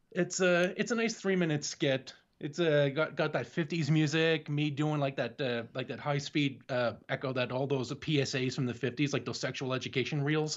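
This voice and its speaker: A man with a Canadian accent talks at a moderate pace in a fairly high pitch, with hardly any pauses. He has a plain, everyday voice. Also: ordinary pitch variation. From Canada. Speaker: podcaster. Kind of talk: casual chat.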